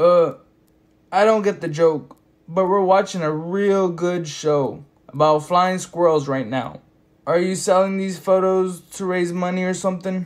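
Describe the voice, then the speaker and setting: Someone performs a put-on character voice at a middle pitch. The pace is moderate. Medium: read story. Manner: offhand, casual.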